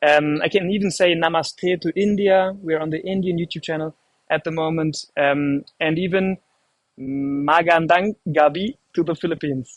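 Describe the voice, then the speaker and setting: This man talks at a moderate pace in a high pitch, with a German accent. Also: fairly even intonation, dry, close sound with no echo. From Germany. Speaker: live stream host. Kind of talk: live stream presenting. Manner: casual, hesitant with fillers.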